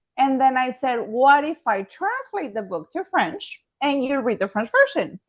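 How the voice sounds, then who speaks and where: A woman with a Spanish accent speaks at a high pitch with very wide swings. Her moderate pace has hardly any pauses, and the sound is dry and close with no echo. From Mexico. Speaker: author and high school French teacher. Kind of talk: interview conversation.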